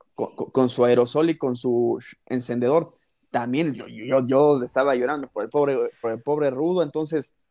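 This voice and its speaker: This man's dark, mellow tone carries a Mexican accent over fairly even intonation. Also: medium pitch for a man, moderate pace. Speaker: wrestling podcast host. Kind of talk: casual chat.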